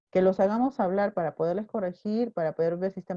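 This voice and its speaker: This soft-spoken voice has a dark, mellow tone and ordinary pitch variation, heard in a dry, close sound with no echo. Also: woman. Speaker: teacher. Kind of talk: online class lecture.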